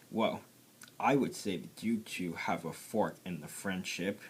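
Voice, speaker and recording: A man puts on a growling character voice at a fairly low pitch. He goes at a fairly slow pace with ordinary pitch variation. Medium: read story.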